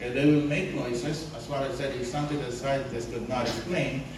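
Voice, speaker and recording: A man with a non-native accent speaks at a fairly high pitch with ordinary pitch variation. Noticeable background noise is present. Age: 60s. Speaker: guest preacher. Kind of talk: sermon. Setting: church.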